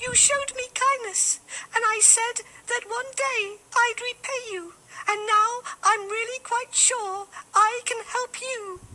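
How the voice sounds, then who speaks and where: The speaker uses a put-on character voice. The pace is fairly slow. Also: female-sounding voice, extremely high pitch for a woman. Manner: pleading, earnest.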